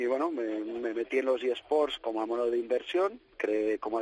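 A man with a normal speaking voice talks at medium pitch and a moderate pace with fairly even intonation, in a dry, close sound with no echo. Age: 40s. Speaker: esports league project manager. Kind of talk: radio interview.

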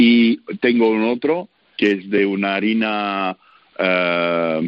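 A man speaks with fairly even intonation. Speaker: baker, sourdough expert. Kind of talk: radio interview. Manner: halting, with filler sounds.

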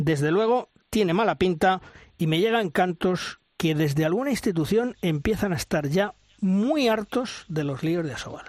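At a moderate pace, a man talks at a high pitch with lively intonation, in a dry, close sound with no echo. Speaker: radio host of a handball show. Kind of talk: sports radio show.

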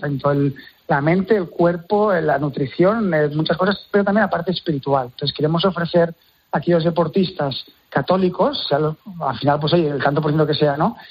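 Speaking at a moderate pace, the man has a high pitch and ordinary pitch variation. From Catalonia, Terrassa. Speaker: church sports ministry organizer, former elite hockey player. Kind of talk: interview.

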